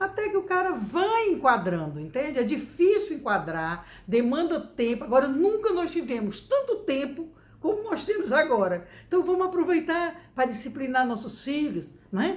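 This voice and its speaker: Speaking at a moderate pace, a woman uses a high pitch. Her pitch swings very widely. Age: 60s. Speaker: educator giving parenting advice. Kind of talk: talk to camera, parenting advice. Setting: home recording.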